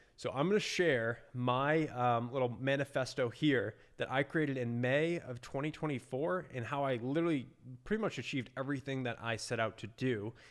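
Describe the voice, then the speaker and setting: In a very clean recording with a silent background, a man with an American accent has an unremarkable speaking voice at medium pitch, with ordinary pitch variation. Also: moderate pace. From US Northeast, Boston, Massachusetts. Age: 20s. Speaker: entrepreneur, agency owner. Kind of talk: casual vlog talk to camera. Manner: casual with many fillers.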